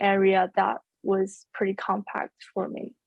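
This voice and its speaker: Her voice sits at a medium pitch. A woman speaks at a very slow pace. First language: Mandarin Chinese. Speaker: university student. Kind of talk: casual interview chat. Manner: halting.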